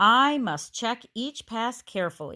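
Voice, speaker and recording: A female-sounding put-on character voice, fairly high in pitch, speaks at a fairly slow pace in a very clean recording with a silent background. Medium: read story. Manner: suspicious, stern.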